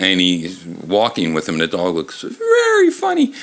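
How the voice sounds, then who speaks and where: The speech keeps a moderate pace while noticeable background noise is present. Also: man. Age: 50s. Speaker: comedy podcast host reading children's books. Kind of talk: comedic reading aloud. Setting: bar. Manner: halting.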